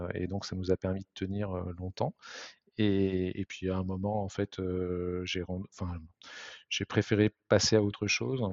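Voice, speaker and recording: A man's voice sits very deep and low, with fairly even intonation. He speaks at a very slow pace. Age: 50s. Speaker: tech startup co-founder. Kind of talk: interview. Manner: halting, many fillers.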